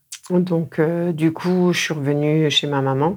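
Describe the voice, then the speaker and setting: Very slowly and with fairly even intonation, the voice comes through on a very clean recording with a silent background. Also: woman. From northern Meurthe-et-Moselle, Lorraine. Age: 40s. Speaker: yellow vest activist, healer. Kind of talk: casual interview.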